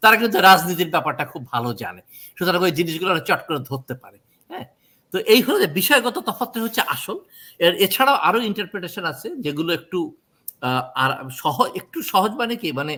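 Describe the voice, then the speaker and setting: In a very clean recording with a silent background, a man projects a raised voice with a high pitch, a bright, sharp tone, very wide pitch swings and big swings in loudness. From Bangladesh. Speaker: court interpreter. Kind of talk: interview.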